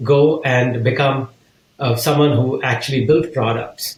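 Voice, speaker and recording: A man at a fairly high pitch, somewhat breathy, with ordinary pitch variation and a fairly slow pace. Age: 60s. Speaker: business leader and author. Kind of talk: interview.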